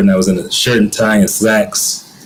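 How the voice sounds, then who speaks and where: A man with an American accent is heard with noticeable background noise and audible room echo. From US South, Atlanta. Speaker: guest, creative artist. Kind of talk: interview conversation. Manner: casual, hesitant with fillers.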